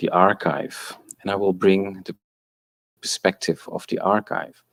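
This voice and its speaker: A Dutch accent in a dry, close sound with no echo. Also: man. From Netherlands. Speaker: architectural historian. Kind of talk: conference talk. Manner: halting.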